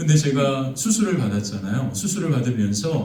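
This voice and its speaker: Over noticeable background noise and audible room echo, a man with a medium-pitched voice talks at a moderate pace. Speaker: pastor. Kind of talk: sermon. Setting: church. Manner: frequent filler hesitations.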